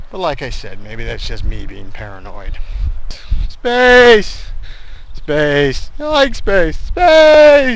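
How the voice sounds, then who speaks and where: The loudness swings widely, and the room gives off an audible echo. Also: man. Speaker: vlogger on weight-loss walks. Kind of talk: walking vlog monologue. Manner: fast-paced, rising and dropping intonation; snarky commentary tone.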